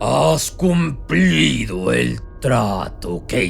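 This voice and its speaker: Over clear music in the background, a man uses a put-on character voice, very deep and low, at a very slow pace. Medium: read story.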